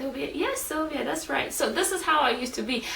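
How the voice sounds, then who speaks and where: A woman's raised, projected voice at a high pitch and fairly quick pace, with audible room echo and noticeable background noise. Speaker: video blogger. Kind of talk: casual vlog monologue. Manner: casual, many fillers like 'like' and 'um'.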